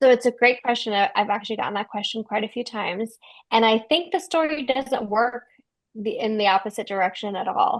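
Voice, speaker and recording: A plain voice at a fairly quick pace, an unremarkable speaking voice against a quiet background. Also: woman, fairly high pitch for a woman. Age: 30s. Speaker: novelist. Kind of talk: book club interview.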